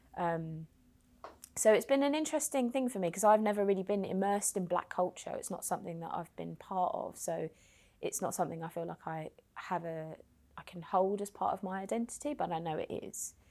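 A woman with a London accent talks at a fairly quick pace and medium pitch, her intonation lively. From London, Hackney. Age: 30s. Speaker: charity worker. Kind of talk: interview.

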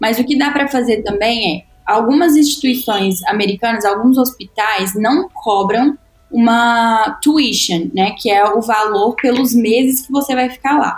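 Music plays in the background as a woman speaks at a fairly slow pace with ordinary pitch variation. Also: fairly high pitch for a woman, very even loudness. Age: 20s. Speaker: medical student. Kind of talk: casual chat.

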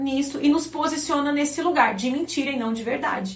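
Audible room echo surrounds a woman with an animated tone. She speaks at a high pitch with ordinary pitch variation. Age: 30s. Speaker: pastor. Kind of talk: live-stream devotional preaching.

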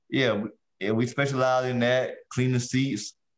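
At a moderate pace, a man with an American accent speaks at a medium pitch. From US South, South Carolina (Allendale). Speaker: podcast co-host and small business owner. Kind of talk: casual chat.

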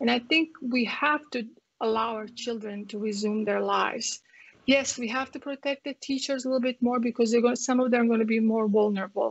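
A woman with a Croatian accent speaks at a fairly quick pace. Her pitch is fairly high. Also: fairly even intonation. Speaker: family physician. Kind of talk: interview.

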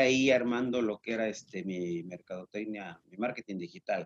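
With an unremarkable speaking voice, a man talks at a moderate pace and with lively intonation, the sound dry and close with no echo. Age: 50s. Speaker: shoe and clothing distributor, business owner. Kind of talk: interview.

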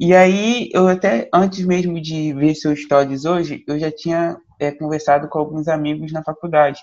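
With an ordinary speaking voice, a man talks at a moderate pace with hardly any pauses, his pitch fairly high and his intonation fairly even. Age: young. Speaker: podcast host. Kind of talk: interview.

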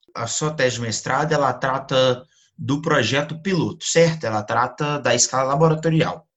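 Moderate-paced speech from a man, an unremarkable speaking voice pitched fairly high, its pitch variation ordinary. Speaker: podcast host. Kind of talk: interview.

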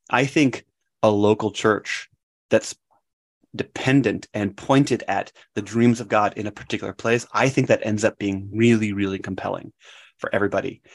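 An ordinary speaking voice from a man with an American accent, fairly low in pitch, at a moderate pace with fairly even intonation, dry and close with no echo against a quiet background. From Wisconsin, US Midwest. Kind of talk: podcast interview.

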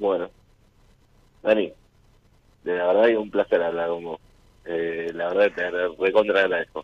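Monotone, flat delivery from a man with very deep, low pitch, at a moderate pace with long, frequent pauses. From Rosario, Argentina. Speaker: caller. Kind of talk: casual chat with radio host. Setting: phone call to radio show.

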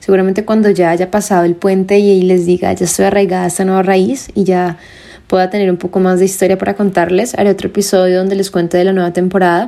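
A woman with a medium pitch talks at a very fast pace in a monotone, flat way. Her loudness stays very even. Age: 20s. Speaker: podcast host. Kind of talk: personal monologue. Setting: home bedroom.

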